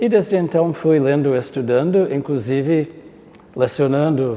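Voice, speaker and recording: A man speaks over noticeable background noise. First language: not Portuguese (speaking Portuguese). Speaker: professor. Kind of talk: interview testimony.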